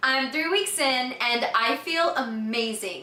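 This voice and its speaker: In a raised, projected voice with an American accent, a woman with a high pitch speaks with lively intonation amid noticeable background noise and audible room echo. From Texas, Houston. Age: 20s. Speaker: customer giving a product testimonial. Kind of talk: testimony.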